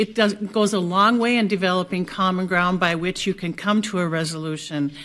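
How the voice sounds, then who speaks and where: Speaking with fairly even intonation at a fairly quick pace, a woman has an unremarkable speaking voice at a medium pitch. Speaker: city commissioner and mayoral candidate. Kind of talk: candidate forum answer.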